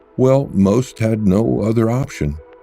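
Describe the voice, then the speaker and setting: Male speech with ordinary pitch movement over background music. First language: not English. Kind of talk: nonfiction book summary reading.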